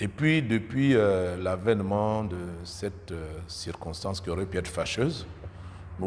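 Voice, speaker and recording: A man speaks at a moderate pace in a very deep, low voice that is somewhat breathy. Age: 60s. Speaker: politician. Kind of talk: interview. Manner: hesitant, many filler sounds.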